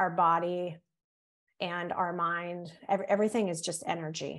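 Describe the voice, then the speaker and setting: With a Northern US accent, a woman speaks at a medium pitch and with fairly even intonation. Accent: Northern US, Yankee. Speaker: guest, yoga teacher and nurse. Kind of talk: interview, casual chat.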